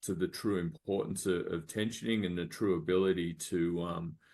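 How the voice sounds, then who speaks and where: With an Australian accent, a man speaks at a moderate pace in a very deep, low voice, his intonation fairly even against a quiet background. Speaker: medical device startup founder. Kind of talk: business pitch presentation. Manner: halting, many fillers.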